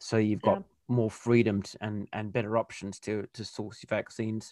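The sound is dry and close, with no echo. A man speaks at medium pitch with fairly even intonation. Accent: Australian. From Western Australia. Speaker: podcast interviewer. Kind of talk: casual interview.

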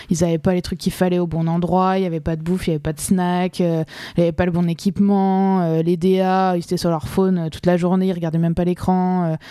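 This voice has a dark, mellow tone and a monotone, flat intonation. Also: woman, fairly low pitch for a woman. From France, Alsace (Colmar). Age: 30s. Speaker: fashion model. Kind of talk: casual chat.

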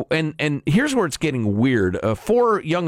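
This man speaks fairly quickly in a very clean recording with a silent background. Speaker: radio host. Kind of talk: casual banter, talk radio. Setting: studio.

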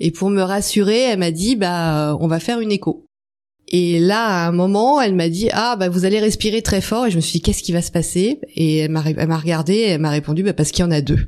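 A woman with an unremarkable speaking voice talks at a fairly quick pace, her fairly low pitch showing ordinary variation. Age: 50s. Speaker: mother of twins. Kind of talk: testimony.

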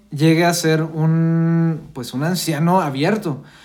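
At a very slow pace, someone with a Mexican accent speaks amid audible room echo. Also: man. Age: 20s. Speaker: podcast co-host. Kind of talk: casual chat.

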